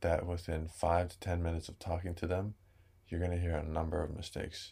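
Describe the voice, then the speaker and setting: In a very clean recording with a silent background, a man with a very deep, low pitch speaks in a calm, somewhat breathy tone at a moderate pace. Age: 20s. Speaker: Hawaiian language teacher. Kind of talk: casual interview.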